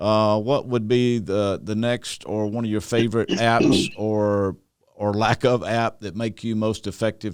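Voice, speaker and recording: A man speaks with a fairly low pitch. There are hardly any pauses. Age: 60s. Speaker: podcast host, church consultant. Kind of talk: casual interview podcast. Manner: hesitant with fillers.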